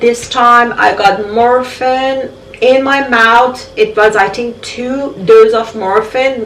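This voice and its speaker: Speaking very slowly, a woman uses a fairly high pitch and fairly even intonation. Audible room echo and noticeable background noise surround her. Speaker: vlogger sharing health journey. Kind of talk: personal vlog testimony.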